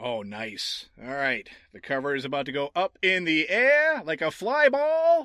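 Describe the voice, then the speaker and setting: A man with a Massachusetts accent at a fairly slow pace, in a dry, close sound with no echo and a quiet background. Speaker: judge. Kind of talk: casual banter.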